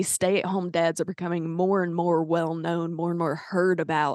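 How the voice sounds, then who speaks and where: In a Southern US accent, a woman talks at a fairly quick pace with a fairly low pitch. The sound is dry and close with no echo, and the background is quiet. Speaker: podcast host and singer-songwriter. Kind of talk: interview.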